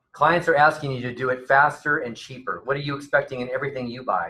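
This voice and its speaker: Speaking at a fairly quick pace, a man uses a medium pitch and a bright, sharp tone. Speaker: real estate coach and trainer. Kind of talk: seminar presentation. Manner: fast.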